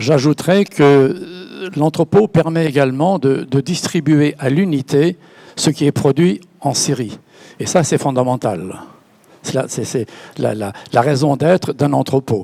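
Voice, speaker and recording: A man speaks at a very slow pace. His voice is fairly high, with ordinary pitch variation. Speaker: company founder. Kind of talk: panel discussion. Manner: halting, repeats words.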